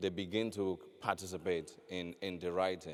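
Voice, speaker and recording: A man with a very deep, low pitch and a Nigerian accent, on a very clean recording with a silent background. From Nigeria, west. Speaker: novelist. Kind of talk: panel discussion. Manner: halting, many fillers and repetitions.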